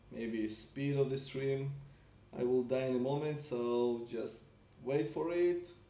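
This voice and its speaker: Very slow speech with ordinary pitch variation, audible room echo and noticeable background noise. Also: man, medium pitch for a man. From Russia. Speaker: mobile game streamer. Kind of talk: live gameplay stream chat. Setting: live stream on laptop.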